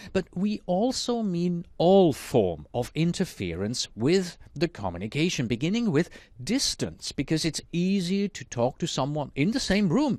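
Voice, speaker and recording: With a Swiss German accent, a man speaks at a fairly slow pace in a high pitch with very wide pitch swings, over a quiet background. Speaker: instructor. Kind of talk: lecture.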